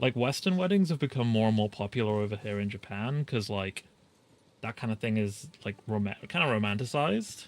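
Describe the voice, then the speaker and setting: With music in the background, a man speaks in a British accent at a medium pitch, using ordinary pitch variation at a moderate pace. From Britain. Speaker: vtuber game streamer. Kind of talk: casual live-stream chat while gaming.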